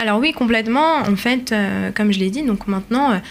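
A woman's normal speaking voice with lively intonation. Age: 20s. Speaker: community manager. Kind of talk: radio interview.

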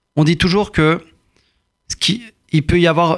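With ordinary pitch variation, the talk unfolds at a fairly slow pace. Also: man. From France, Courbevoie. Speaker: politician and lawyer. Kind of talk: interview.

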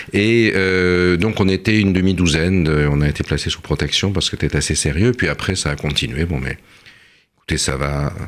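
This man talks at a moderate pace with a very deep, low pitch and ordinary pitch variation. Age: 60s. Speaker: political scientist and author. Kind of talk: radio discussion.

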